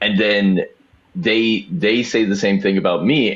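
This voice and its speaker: This man has an unremarkable speaking voice, a fairly low pitch, ordinary pitch variation and a fairly slow pace. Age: 30s. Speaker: caller. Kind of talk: live debate show Q&A.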